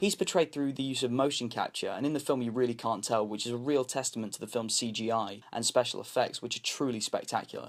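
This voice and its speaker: This man has a British accent and talks at a very fast pace with ordinary pitch variation. The recording is very clean, with a silent background. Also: medium pitch for a man. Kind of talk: film review.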